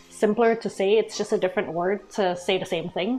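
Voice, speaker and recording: Music plays in the background while a woman speaks at a fairly high pitch. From Malaysia. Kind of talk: casual talk to camera.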